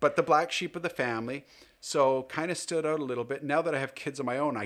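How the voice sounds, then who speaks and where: Very clean recording of a man with an ordinary speaking voice, ordinary pitch variation and a fairly quick pace over a silent background. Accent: Canadian. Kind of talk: casual interview chat.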